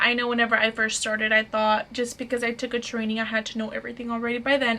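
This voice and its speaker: With noticeable background noise behind her, a woman speaks in a high pitch with an American accent. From Fort Worth, Texas. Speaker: lash artist and trainer. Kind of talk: casual talk to camera.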